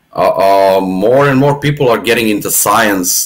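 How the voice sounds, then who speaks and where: The speaker has a Serbian accent, a moderate pace and ordinary pitch variation. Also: man. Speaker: atheist podcast guest. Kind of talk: casual chat. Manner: halting, many repetitions.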